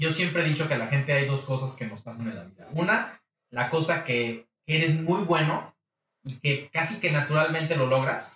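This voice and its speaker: A man with an ordinary speaking voice and a fairly high pitch talks at a moderate pace, with ordinary pitch variation and big swings in loudness. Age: 30s. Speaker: local politician. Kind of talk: interview. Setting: studio.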